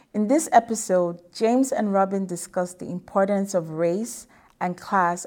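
This is a plain, everyday voice. A woman of medium pitch speaks at a moderate pace. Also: very clean recording, silent background. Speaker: show announcer. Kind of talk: scripted narration.

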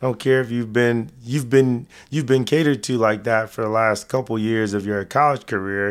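An unremarkable speaking voice from a man with an American accent, medium pitch and fairly even intonation, at a moderate pace with hardly any pauses, in a very clean recording with a silent background. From Texas. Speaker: retired football player and investor. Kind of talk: casual interview.

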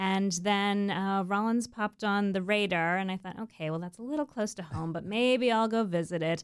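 Delivered at a moderate pace with ordinary pitch variation and an American accent, this is an unremarkable speaking voice. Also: woman, medium pitch for a woman. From Florida, US. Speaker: nonprofit executive director. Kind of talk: interview. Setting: studio.

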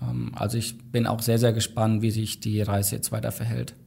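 Somewhat breathy, this man's medium-pitched voice stays in a monotone, flat intonation. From Thuringia, Germany. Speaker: tech company employee. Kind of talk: casual chat.

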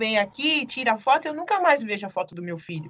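A normal speaking voice at a fairly quick pace. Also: woman. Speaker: documentary director and photographer. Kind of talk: interview.

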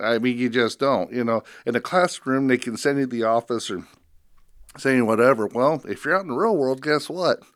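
Talking at a fairly quick pace, a man with an American accent uses a medium pitch and ordinary pitch variation in a very clean recording with a silent background. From northwest Iowa. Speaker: heating and air conditioning business owner. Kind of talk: casual chat. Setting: studio. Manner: halting.

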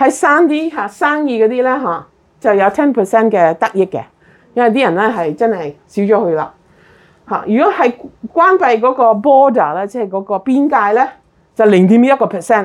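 This woman's tone is animated, with very wide pitch swings. She speaks at a moderate pace in a fairly high voice. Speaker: health talk presenter. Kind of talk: health talk to a live and Zoom audience.

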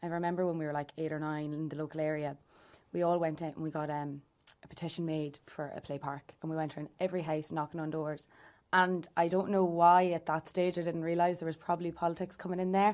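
In an Irish accent, a woman speaks very fast at a fairly low pitch. Her intonation is monotone and flat over a quiet background. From Ireland, County Louth. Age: 20s. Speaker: youth wing executive member. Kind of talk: interview conversation.

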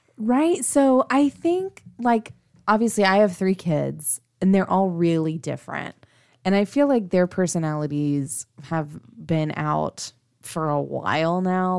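On a very clean recording with a silent background, a woman with an unremarkable speaking voice talks fairly slowly in a fairly low pitch, her intonation lively. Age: 30s. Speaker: podcast co-host, mother of three. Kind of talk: casual chat.

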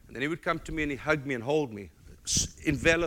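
With a South African accent, a man talks with ordinary pitch variation. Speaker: guest preacher. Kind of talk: sermon. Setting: church.

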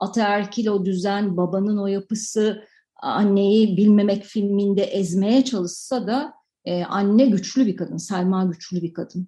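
The woman's voice is medium in pitch and somewhat breathy, with a dark, mellow tone. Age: 40s. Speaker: film director. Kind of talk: radio interview. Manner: halting, many fillers.

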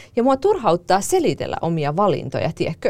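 The background is silent and the recording very clean. Here a woman talks fairly quickly. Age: 30s. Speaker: podcast host. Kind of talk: casual chat; scripted narration.

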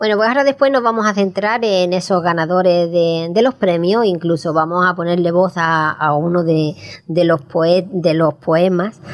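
The woman's voice shows ordinary pitch variation. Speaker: radio host. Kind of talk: radio magazine chat. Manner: halting, repeats words.

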